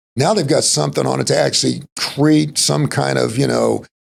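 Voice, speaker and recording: With music in the background, a man with an American accent speaks in an animated tone at a moderate pace. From Texas. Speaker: entrepreneur and helicopter pilot. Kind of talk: casual interview chat. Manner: animated storytelling.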